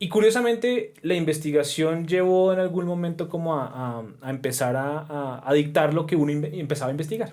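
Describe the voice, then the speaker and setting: Ordinary pitch variation marks speech that runs at a fairly quick pace with hardly any pauses. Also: man, fairly high pitch for a man. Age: 30s. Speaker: professor. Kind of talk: casual chat. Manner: halting.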